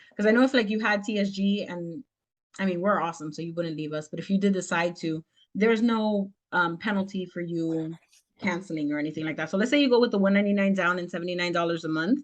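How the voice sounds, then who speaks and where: A woman at a very fast pace, with a medium pitch and ordinary pitch variation. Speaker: business mentor teaching a tax class. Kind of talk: online class with Q&A.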